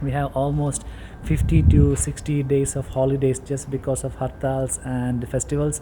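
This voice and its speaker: Over noticeable background noise, a man with a Keralan accent speaks at a moderate pace in a medium pitch, his intonation monotone and flat. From India, Kerala. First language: Malayalam. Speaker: vlogger, teacher. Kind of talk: casual vlog talk.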